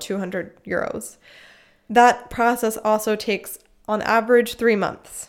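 A woman with an American accent talks at a fairly high pitch in a monotone, flat intonation. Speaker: podcast host. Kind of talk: casual chat.

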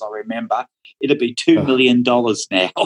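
Speaking at a moderate pace, a man with an Australian accent comes through with a dry, close sound and no echo. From Australia, Melbourne. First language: Dutch. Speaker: watercolour painter. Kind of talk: casual interview.

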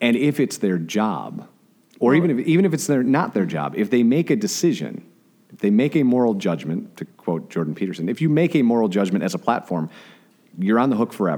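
A man with an American accent, medium pitch, very wide pitch swings, a dark, mellow tone, vocal fry and a fairly quick pace. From Chicago area, US Midwest. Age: 40s. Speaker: social media marketer, former radio DJ. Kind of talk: casual interview conversation.

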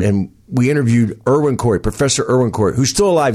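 Over a quiet background, a man with an American accent talks at a very fast pace with ordinary pitch variation. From New Jersey. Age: 70s. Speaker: stand-up comedian. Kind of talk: casual chat.

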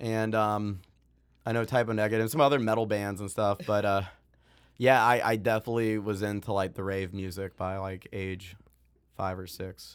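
A man uses a normal speaking voice at a moderate pace with fairly even intonation, on a very clean recording with a silent background. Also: fairly low pitch for a man. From US, moved around; mainly Maine. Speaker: software founder and music educator. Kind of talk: interview.

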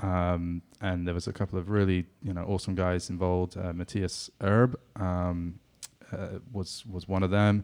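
In a southwest England accent, a man talks at a moderate pace with a very deep, low pitch and monotone, flat intonation. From England, Exeter. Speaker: soccer club staff member and former radio co-host. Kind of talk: casual chat.

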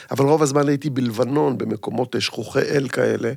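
A man talks with ordinary pitch variation amid noticeable background noise. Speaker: actor and comedian. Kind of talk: casual chat.

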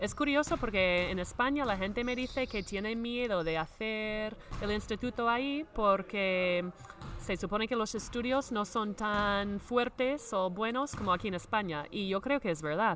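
A woman talks in an English accent at a fairly slow pace. Her pitch is fairly high, with ordinary pitch variation. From US Midwest, Minnesota. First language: English (speaking Spanish). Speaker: podcast host, former basketball player. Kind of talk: scripted narration; interview. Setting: on location in a sports venue.

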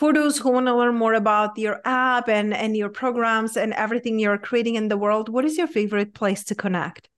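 This woman has a fairly high voice and an animated, enthusiastic tone. The background is quiet. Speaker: podcast host and alignment coach. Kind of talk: casual interview chat.

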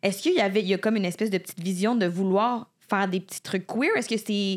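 A woman talks at a very fast pace with ordinary pitch variation and a medium pitch. The recording is very clean, with a silent background. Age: 20s. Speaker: podcast co-host. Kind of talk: quiz questions; casual chat.

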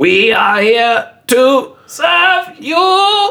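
This put-on character voice is robotic and high-pitched. It jumps through very wide pitch swings. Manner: sad, sighing.

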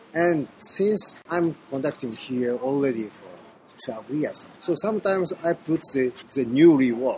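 With a strong Japanese accent, a man speaks at a fairly high pitch over noticeable background noise. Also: fairly slow pace. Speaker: orchestra conductor. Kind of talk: interview. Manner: halting.

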